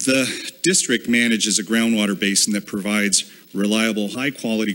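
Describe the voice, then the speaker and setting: A man with a fairly low pitch talks in an ordinary speaking voice at a moderate pace, his intonation fairly even. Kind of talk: formal public statement. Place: hall. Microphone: podium.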